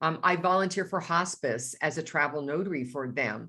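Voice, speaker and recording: A woman speaks at a very deep, low pitch and a moderate pace, with ordinary pitch variation. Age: 60s. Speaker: notary coach. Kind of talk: webinar presentation. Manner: conversational with fillers.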